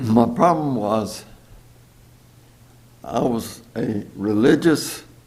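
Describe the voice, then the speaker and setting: Audible room echo surrounds a man with an American accent who speaks at a medium pitch with lively intonation. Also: long, frequent pauses. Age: 90s. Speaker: churchgoer giving testimony. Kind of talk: testimony. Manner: halting.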